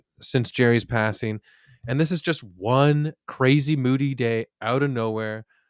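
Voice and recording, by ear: The speaker reads aloud in a natural voice with ordinary pitch variation. The background is quiet.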